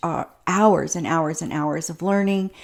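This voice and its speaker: On a very clean recording with a silent background, a woman with a normal speaking voice talks at a fairly slow pace, her pitch fairly low and her intonation fairly even. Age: 60s. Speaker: vlogger and small business owner. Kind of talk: casual vlog. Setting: home office. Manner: chatty with many fillers.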